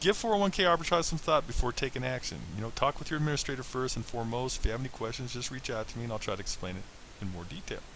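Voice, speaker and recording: An American-accented man speaks at a very fast pace with very wide pitch swings. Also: medium pitch for a man. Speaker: financial coach. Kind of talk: online lesson.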